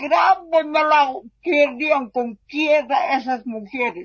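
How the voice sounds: She talks at a slow pace in a high voice, with ordinary pitch variation.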